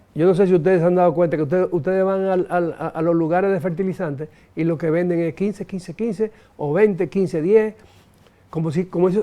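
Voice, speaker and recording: A man's high-pitched voice with a dark, mellow tone, at a fairly quick pace. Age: 70s. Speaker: businessman and economist. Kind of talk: interview. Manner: halting, many repetitions and fillers.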